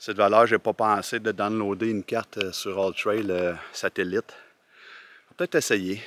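A man speaks at a fairly low pitch and a fairly slow pace. His intonation stays fairly even, and the sound is dry with no echo. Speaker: hiker vlogger. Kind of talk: casual vlog chat. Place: forest. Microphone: phone near.

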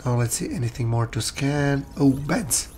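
A man talks at a moderate pace. His tone is slightly mellow, with ordinary pitch variation. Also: medium pitch for a man.

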